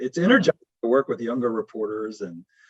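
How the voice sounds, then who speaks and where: At a moderate pace and medium pitch, a man speaks in an ordinary speaking voice, recorded dry and close with no echo. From US South, Louisiana. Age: 60s. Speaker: sports journalist. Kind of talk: interview.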